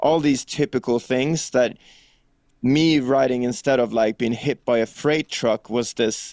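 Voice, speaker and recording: With a Swedish accent, a man talks at a fairly slow pace and a medium pitch. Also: dry, close sound with no echo. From Sweden. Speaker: rock singer and songwriter. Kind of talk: interview. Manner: casual, animated.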